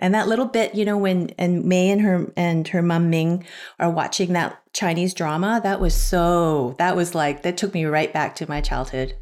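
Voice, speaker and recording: On a very clean recording with a silent background, a woman with an unremarkable speaking voice and fairly low pitch talks at a moderate pace with hardly any pauses, ordinary pitch variation and very even loudness. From Canada. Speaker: podcast panelist. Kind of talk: casual chat.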